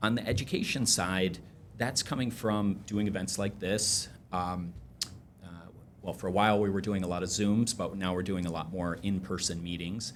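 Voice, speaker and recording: With an American accent, a man speaks at a moderate pace in a fairly low pitch. His intonation is fairly even, and room echo is audible. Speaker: energy trading company CEO. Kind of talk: podcast interview. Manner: hesitant, many fillers.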